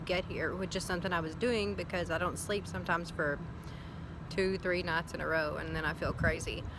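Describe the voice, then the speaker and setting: Audible room echo surrounds a woman speaking with a Southern US accent. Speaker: vlogger. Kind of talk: casual video diary. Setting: outdoors.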